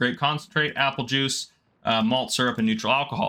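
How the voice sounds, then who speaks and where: A man speaks at a fairly quick pace in a bright, sharp tone, his pitch swinging very widely. The recording is very clean, with a silent background. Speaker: gaming youtuber. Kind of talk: tutorial. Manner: fast.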